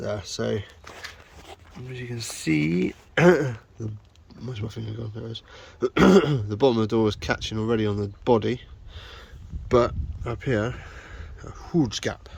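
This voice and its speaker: Amid noticeable background noise, a man with medium pitch and ordinary pitch variation talks at a moderate pace, with long, frequent pauses and big swings in loudness. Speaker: van converter doing DIY repairs. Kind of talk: casual DIY vlog chat. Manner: soft-spoken, quiet.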